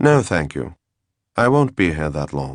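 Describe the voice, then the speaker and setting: A man puts on a character voice, very deep and low in pitch with very wide pitch swings, in a very clean recording with a silent background. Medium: read story. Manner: calm, courteous.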